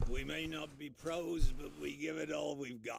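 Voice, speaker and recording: A man does a raspy, put-on character voice at a fairly high pitch, moving at a moderate pace. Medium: video game.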